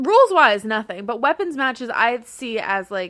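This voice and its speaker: A woman's bright, sharp voice comes at a moderate pace on a very clean recording with a silent background. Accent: American. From US Mid-Atlantic. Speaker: podcast co-host. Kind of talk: casual chat, wrestling podcast.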